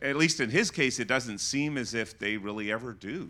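In a very clean recording with a silent background, a man speaks at a moderate pace with a bright, sharp tone. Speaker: pastor. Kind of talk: panel discussion.

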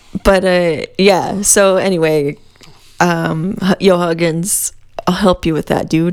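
Over noticeable background noise, a woman speaks very slowly in a fairly low pitch with monotone, flat intonation. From New Mexico. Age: 30s. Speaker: podcast co-host. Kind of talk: casual chat.

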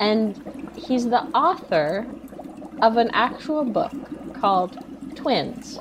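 A woman speaks very slowly in a high pitch. Background noise is noticeable. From Canada. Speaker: podcast guest, film commentator. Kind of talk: casual chat.

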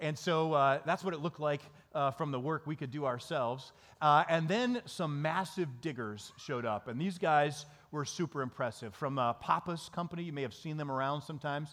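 A fairly quick-paced man with a fairly high pitch, ordinary pitch variation and an Upper Midwest US accent. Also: very clean recording, silent background. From Michigan, small town. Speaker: pastor. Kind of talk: sermon.

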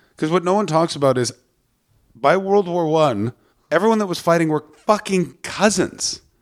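Very clean recording with a silent background: a man with an Ottawa Valley accent, high in pitch, animated in tone, lively intonation, moderate pace. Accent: Canadian, Ottawa Valley. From Ottawa, Canada. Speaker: stand-up comedian. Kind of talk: casual chat. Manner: animated, swears a lot.

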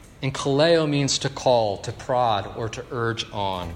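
A man's voice with ordinary pitch variation, against noticeable background noise. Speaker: pastor. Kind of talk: sermon. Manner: conversational, with filler words.

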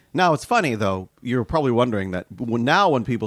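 The voice has an animated tone with very wide pitch swings, captured dry and close with no echo on a very clean recording with a silent background. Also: man. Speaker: podcast host. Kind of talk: casual chat, podcast discussion. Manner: animated, teasing, laughs often.

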